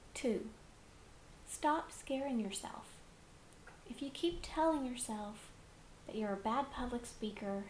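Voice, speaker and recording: A woman speaks at a high pitch and a fairly slow pace. The recording carries audible room echo and noticeable background noise. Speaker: public speaking teacher. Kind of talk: lecture.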